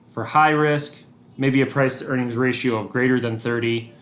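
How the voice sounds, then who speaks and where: Over noticeable background noise and audible room echo, a man talks at a moderate pace in a medium pitch. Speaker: teacher. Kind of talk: recorded lesson. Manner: monotone.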